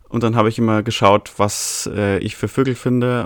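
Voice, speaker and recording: Medium-pitched male voice, monotone with flat intonation. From Bavaria, Altötting area. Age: 20s. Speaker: birdwatcher and nature volunteer. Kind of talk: interview. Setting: video call.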